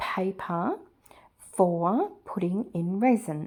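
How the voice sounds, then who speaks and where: With an Australian accent, a woman of medium pitch speaks very slowly in a dark, mellow tone with ordinary pitch variation, on a very clean recording with a silent background. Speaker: resin and mixed media artist. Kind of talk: craft tutorial voiceover. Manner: hesitant, many filler words.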